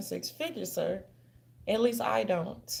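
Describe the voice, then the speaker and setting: A woman talks in an animated tone. Noticeable background noise runs behind her. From New Orleans, Louisiana. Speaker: commentary vlogger. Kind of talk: casual commentary vlog. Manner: controlled diction from theater training.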